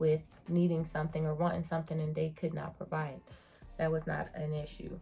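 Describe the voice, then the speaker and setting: A woman's fairly low, somewhat breathy voice with a dark, mellow tone. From United States. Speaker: beauty and surgery vlogger. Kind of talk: casual review vlog. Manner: animated.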